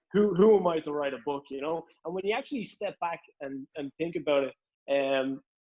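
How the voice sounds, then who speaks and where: This man talks with a strong Irish accent at a fairly high pitch. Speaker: author. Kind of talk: casual chat.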